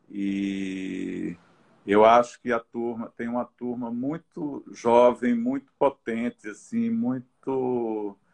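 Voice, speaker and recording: A man of medium pitch, fairly even in intonation, speaking at a very slow pace. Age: 60s. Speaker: visual artist. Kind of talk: interview in a live stream. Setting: live video stream. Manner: halting, many repetitions.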